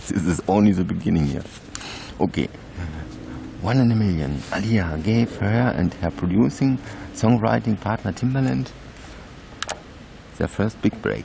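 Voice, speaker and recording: A man's fairly low voice with a non-native accent, moderate pace and long, frequent pauses, against noticeable background noise. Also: lively intonation. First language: not English. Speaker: YouTuber. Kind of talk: reading aloud. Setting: outdoors. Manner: halting.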